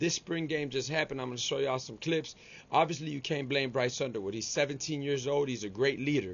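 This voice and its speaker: A man talks very fast in a Miami accent, his tone animated. His pitch sits fairly high, with ordinary variation. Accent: Cuban-American Miami. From Miami, Florida (Cuban-American). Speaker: sports YouTuber. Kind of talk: casual sports commentary vlog. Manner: casual, animated slangy delivery.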